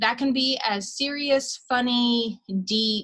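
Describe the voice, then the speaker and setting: This woman's fairly high voice has a bright, sharp tone and fairly even intonation. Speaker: college instructor. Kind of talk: lecture. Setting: screen-share video recording. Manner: fast.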